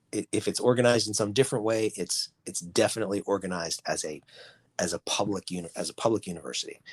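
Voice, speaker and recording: In an American accent, a man with a fairly low pitch talks very fast with ordinary pitch variation, the sound dry and close with no echo. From Boston, US Northeast. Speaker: student loan forgiveness expert. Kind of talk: podcast interview. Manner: halting, many false starts and repetitions.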